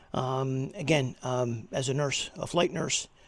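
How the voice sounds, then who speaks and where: In a very clean recording with a silent background, a man with an American accent talks with vocal fry. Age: 60s. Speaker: retired flight nurse doing DIY car repair. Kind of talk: casual tutorial. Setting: home garage. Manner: halting, many fillers.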